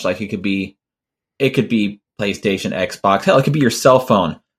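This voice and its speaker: The voice has vocal fry and moves at a moderate pace. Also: man. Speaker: podcast co-host. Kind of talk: casual chat.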